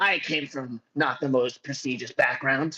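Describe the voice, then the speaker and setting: A man's put-on character voice at a medium pitch. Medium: actual play.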